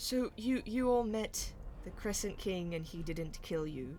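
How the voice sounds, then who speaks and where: A female-sounding put-on character voice speaks at a medium pitch and a fairly slow pace over clear background noise. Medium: actual play.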